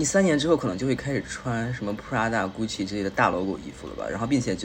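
Noticeable background noise sits behind a man with a medium-pitched voice. He talks very fast with lively intonation. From Beijing. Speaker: guest, host's friend. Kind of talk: casual chat.

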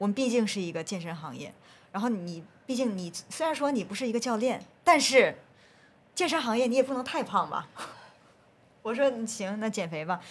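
Her voice is somewhat breathy and fairly high, with very wide pitch swings. The woman moves at a fairly quick pace but takes long, frequent pauses. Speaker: researcher and group fitness instructor. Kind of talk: casual podcast interview.

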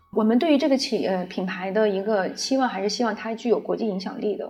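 A woman's fairly high voice in a calm tone, with ordinary pitch variation. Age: 40s. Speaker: brand founder and designer. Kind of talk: interview. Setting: retail store.

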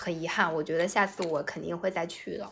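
A woman is speaking here. Her tone is bright and sharp. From China, Anhui. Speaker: office worker, travel guest. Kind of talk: casual chat. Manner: animated.

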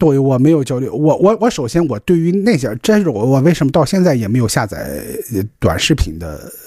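A man's fairly high, dark, mellow voice at a fairly quick pace, full of very wide pitch swings. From Qingdao, Shandong, China. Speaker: podcast co-host. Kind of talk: casual chat. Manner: frequent stuttering repetitions.

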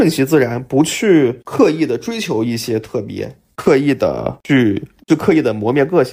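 This man's dark, mellow tone sits at a medium pitch, moving with lively intonation at a fairly slow pace. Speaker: drone industry professional. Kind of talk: casual conversation.

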